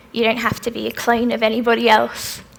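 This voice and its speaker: Noticeable background noise runs behind a woman speaking. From Australia (Melbourne). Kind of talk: festival talk with audience Q&A.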